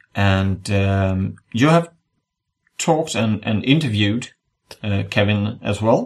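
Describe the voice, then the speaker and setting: A man with a Swedish accent speaks at a fairly low pitch. His pace is very slow. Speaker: podcast host. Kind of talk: casual chat. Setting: video call.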